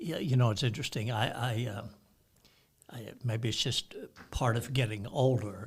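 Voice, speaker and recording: This man's voice sits at a medium pitch and sounds somewhat breathy. He keeps a moderate pace and fairly even intonation, with long, frequent pauses. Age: 70s. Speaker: pastor. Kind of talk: casual chat.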